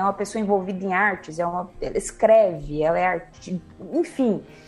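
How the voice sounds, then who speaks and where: Over background music, a woman speaks at a moderate pace with lively intonation. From Minas Gerais, Brazil (Uberlândia). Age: 30s. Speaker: music journalist. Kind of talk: casual chat.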